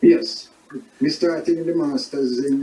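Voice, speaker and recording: Moderate-speed speech from a man with a high pitch, amid noticeable background noise. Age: 70s. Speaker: soccer club manager. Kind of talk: interview.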